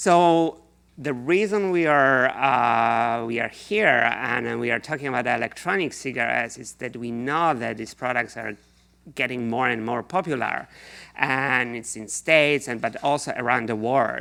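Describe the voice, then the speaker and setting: With a Polish accent, a man speaks at a moderate pace in a bright, sharp tone, his medium pitch showing ordinary variation. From Poland. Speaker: researcher. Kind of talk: lecture.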